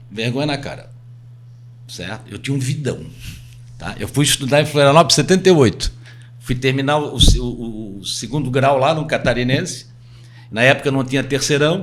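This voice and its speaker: The speech moves at a moderate pace, broken by long, frequent pauses. Pitch varies in an ordinary way, and background noise is noticeable. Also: man, medium pitch for a man. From Itajaí, Santa Catarina, southern Brazil. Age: 60s. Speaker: real estate agent. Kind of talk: podcast interview.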